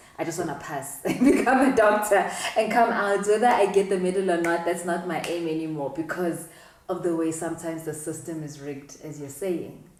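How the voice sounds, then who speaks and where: A woman at a fairly low pitch and fairly quick pace, with ordinary pitch variation, big swings in loudness, audible room echo and noticeable background noise. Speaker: doctor and talk show host. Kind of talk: interview.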